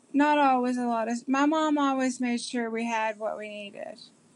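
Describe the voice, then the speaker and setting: Against a quiet background, a woman with a Kentucky accent talks at a fairly slow pace in a high pitch. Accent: Kentucky Southern American. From US South, southeastern Kentucky. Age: 40s. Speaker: interviewee. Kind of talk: interview. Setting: video call. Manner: halting, many fillers.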